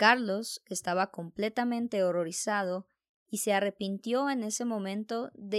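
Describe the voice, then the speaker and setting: This is a normal speaking voice: a woman at a medium pitch and fairly slow pace, with ordinary pitch variation, a dry, close sound without echo, and a very clean recording over a silent background. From Colombia. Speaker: Spanish teacher and podcast host. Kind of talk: scripted horror story narration in Spanish.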